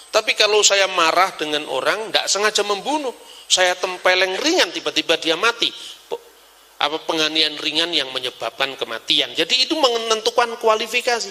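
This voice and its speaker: A raised, projected male voice, high for a man, at a fairly quick pace with lively intonation, over noticeable background noise. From Java, Indonesia. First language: Javanese (speaking Indonesian). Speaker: religious scholar. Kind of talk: lecture. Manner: animated.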